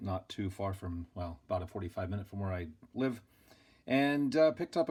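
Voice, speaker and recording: The recording is very clean with a silent background as a man with an unremarkable speaking voice talks at a moderate pace, his intonation lively. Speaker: hobbyist model kit builder. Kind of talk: casual build tutorial. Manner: relaxed.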